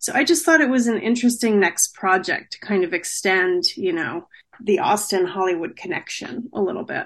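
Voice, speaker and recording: A woman with an American accent speaks at a medium pitch. Her pitch swings very widely. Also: moderate pace. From New Jersey. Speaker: author. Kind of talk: interview.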